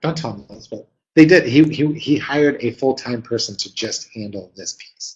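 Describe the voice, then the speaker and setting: A man talks with a medium pitch. His voice is somewhat breathy. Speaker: webinar presenter, marketing consultant. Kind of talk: webinar presentation. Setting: live webinar. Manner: fast; many fillers and hesitations.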